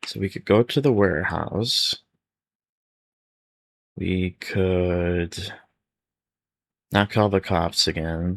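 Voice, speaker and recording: Very slow and soft-spoken, the voice keeps a fairly even intonation in a dry, close recording with no echo, very clean with a silent background. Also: man. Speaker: ASMR creator. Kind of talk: read-aloud children's gamebook for sleep.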